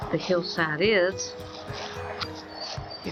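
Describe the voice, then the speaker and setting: Speech in an Appalachian accent moves at a very slow pace with ordinary pitch variation. Music plays in the background. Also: woman. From Southern West Virginia coalfields. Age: 70s. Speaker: author. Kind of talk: reminiscing narration on a walk outdoors. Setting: outdoors.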